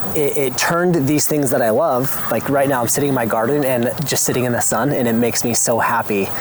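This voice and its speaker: Very fast, passionate, animated speech from a man at medium pitch, with ordinary pitch variation and noticeable background noise. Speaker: homesteading YouTuber. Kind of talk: personal vlog monologue. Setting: outdoors in garden.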